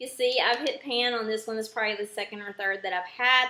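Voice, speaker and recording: A woman speaks at a fairly high pitch with an American accent. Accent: thick at times southern US. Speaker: beauty vlogger. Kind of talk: makeup product review tutorial. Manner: casual with frequent filler ums. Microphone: poor sound quality.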